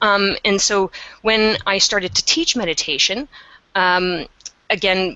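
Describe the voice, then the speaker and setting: A woman with a Canadian accent speaks at a fairly slow pace, pausing long and often. Her loudness stays very even. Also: medium pitch for a woman, ordinary pitch variation. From Canada. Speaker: meditation teacher. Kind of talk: webinar interview.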